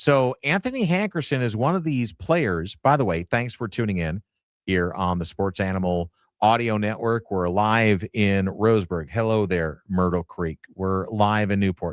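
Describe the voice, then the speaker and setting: With an unremarkable speaking voice, a man talks at a moderate pace in a fairly low pitch with lively intonation. The sound is dry and close with no echo, on a very clean recording with a silent background. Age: 60s. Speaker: sports radio host. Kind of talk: live sports talk radio show. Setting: radio studio.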